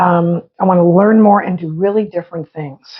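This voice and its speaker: At a moderate pace, a woman speaks in a fairly low, somewhat breathy voice. Her intonation stays fairly even. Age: 60s. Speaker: podcast co-host. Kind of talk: casual chat.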